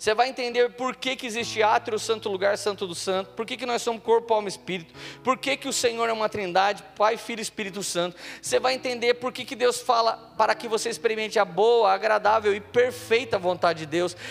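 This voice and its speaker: A man's high-pitched delivery at a fairly quick pace, fairly even in intonation, with hardly any pauses. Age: 40s. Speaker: pastor. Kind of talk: sermon.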